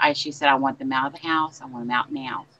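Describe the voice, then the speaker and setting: The intonation is fairly even, with noticeable background noise throughout. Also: woman. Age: old. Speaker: spiritual medium. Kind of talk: casual chat.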